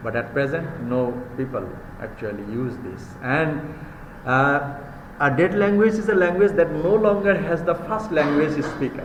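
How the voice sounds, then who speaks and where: A man with a Bengali accent speaks at a fairly slow pace in a fairly high voice. The recording has audible room echo and noticeable background noise. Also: lively intonation. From Bangladesh. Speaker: university lecturer. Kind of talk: lecture. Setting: live class.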